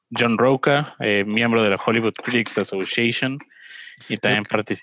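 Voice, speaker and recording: In a normal speaking voice, a man talks at medium pitch and moderate pace with fairly even intonation, the sound dry and close with no echo. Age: 20s. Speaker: film podcast co-host. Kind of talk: casual chat. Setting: video call.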